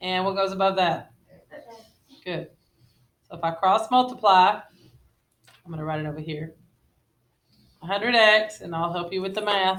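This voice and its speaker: A woman at a medium pitch talks with ordinary pitch variation, pausing long and often. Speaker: middle school math teacher. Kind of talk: classroom lesson. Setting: classroom. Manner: fast.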